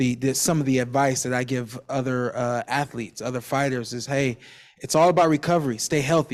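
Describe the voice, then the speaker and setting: Very cleanly recorded against a silent background, a man speaks at a medium pitch and a fairly quick pace with fairly even intonation. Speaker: professional boxer. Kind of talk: panel discussion. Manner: loud.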